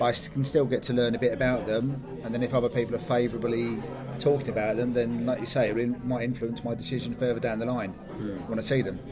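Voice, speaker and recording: Rushing at a very fast pace with hardly any pauses, a man with a British accent speaks at a medium pitch with fairly even intonation over noticeable background noise. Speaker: podcast co-host. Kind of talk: casual chat.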